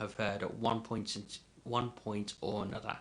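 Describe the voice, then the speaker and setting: A man speaks with a bright, sharp tone. His intonation stays fairly even. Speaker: mental health livestreamer. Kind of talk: livestream talk. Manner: halting.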